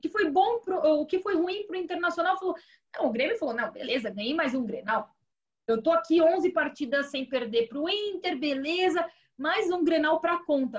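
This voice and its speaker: At a moderate pace, a woman speaks in an extremely high pitch with lively intonation. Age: 30s. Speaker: sports TV producer and presenter. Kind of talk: casual football chat.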